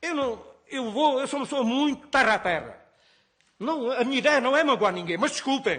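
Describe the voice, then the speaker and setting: A man speaks at a moderate pace with an extremely high pitch and ordinary pitch variation. His tone is bright and sharp. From Portugal, Alentejo. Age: 60s. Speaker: nurse and farmer. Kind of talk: parliamentary hearing testimony. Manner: emotional, halting.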